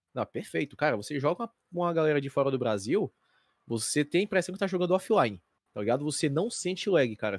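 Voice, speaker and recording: At a fairly quick pace, a man's pitch swings very widely in a very clean recording with a silent background and a dry, close sound with no echo. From Fortaleza, Ceará, Brazil. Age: 20s. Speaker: esports tournament commentator. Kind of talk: casual chat.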